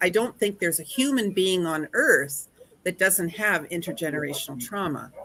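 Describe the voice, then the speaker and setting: Noticeable background noise accompanies a woman whose voice is pitched in the medium range. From Northwestern Ontario, Canada (Thunder Bay). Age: 60s. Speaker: conference speaker. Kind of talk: casual interview chat.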